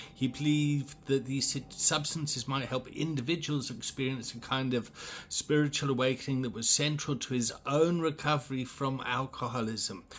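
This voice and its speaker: A man's voice with fairly even intonation and noticeable background noise. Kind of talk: reading aloud. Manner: halting.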